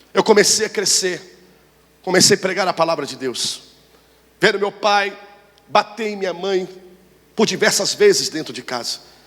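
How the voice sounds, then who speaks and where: A man with a high voice speaks over noticeable background noise. He leaves long, frequent pauses. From Brazil, Rio de Janeiro. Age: 30s. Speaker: pastor. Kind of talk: sermon.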